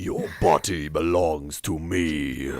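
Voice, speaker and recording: Very deep and low, a man's put-on character voice keeps fairly even intonation. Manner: menacing.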